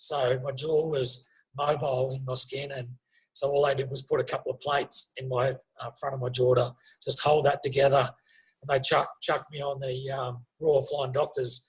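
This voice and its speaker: Speaking with an Australian accent, this man has a fairly high pitch and a somewhat breathy voice. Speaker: former soldier and police officer, spinal injury survivor. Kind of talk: interview testimony. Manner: halting, many fillers.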